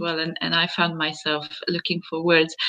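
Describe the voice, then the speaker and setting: A woman speaks with a Hungarian accent and a fairly low pitch. Her pace is moderate. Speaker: interviewer. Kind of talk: interview.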